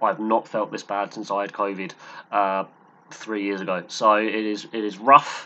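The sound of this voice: Pitched fairly low, a man talks at a moderate pace with little pitch movement and a bright, sharp tone.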